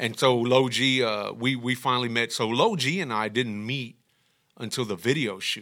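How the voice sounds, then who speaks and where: In a Texan accent, a man with a medium pitch and a bright, sharp tone speaks at a moderate pace with ordinary pitch variation on a very clean recording with a silent background. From Texas, Houston east side. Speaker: music producer. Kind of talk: casual chat.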